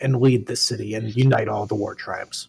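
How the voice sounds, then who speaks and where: A man's put-on character voice, medium-pitched, strained and raspy. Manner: proud, haughty.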